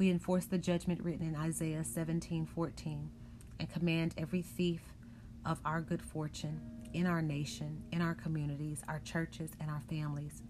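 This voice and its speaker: Speech at a moderate pace plays with music in the background. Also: woman. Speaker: prayer broadcast host. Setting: online worship broadcast. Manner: forceful, authoritative, emphatic; fervent, rhythmic, declarative.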